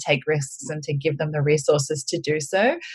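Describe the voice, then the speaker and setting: A woman with an Australian accent, a very deep, low pitch, a somewhat breathy sound and a moderate pace. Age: 30s. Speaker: editor and tarot reader. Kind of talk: casual interview.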